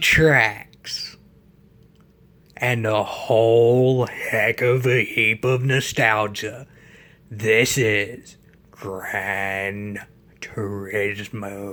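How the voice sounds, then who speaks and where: A raspy, put-on character voice delivers its lines at a very slow pace in a dramatic tone. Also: man. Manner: dramatic, nostalgic, hyped.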